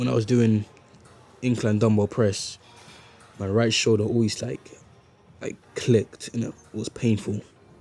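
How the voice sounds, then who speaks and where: With music in the background, a man of medium pitch speaks at a moderate pace, leaving long, frequent pauses. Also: fairly even intonation. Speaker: fitness vlogger. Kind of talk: casual vlog. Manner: casual, filler-heavy.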